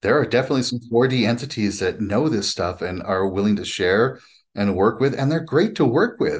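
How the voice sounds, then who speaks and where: Against a quiet background, a man speaks at a medium pitch and a fairly quick pace, his intonation lively. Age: 50s. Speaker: spiritual teacher and author. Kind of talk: casual interview conversation. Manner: animated.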